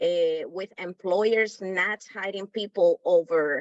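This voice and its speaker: This woman has a medium pitch and speaks with a Spanish accent. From Dominican Republic. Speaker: workshop participant. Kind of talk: group discussion comment.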